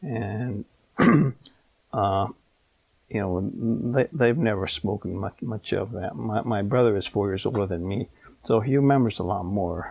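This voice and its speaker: Fairly low in pitch, a man talks at a fairly slow pace with ordinary pitch variation and long, frequent pauses. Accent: American. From California, USA. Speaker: Japanese American former internment camp incarceree. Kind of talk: oral history interview answer. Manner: hesitant, with many fillers.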